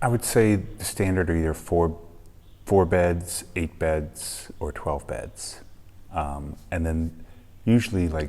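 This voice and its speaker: Very slowly and quietly, a man talks in a very deep, low pitch with a dark, mellow tone. His pitch variation is ordinary. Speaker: travel vlogger. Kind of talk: casual vlog talk to camera. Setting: hostel room, early morning. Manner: quiet, kept low; hesitant, many ums.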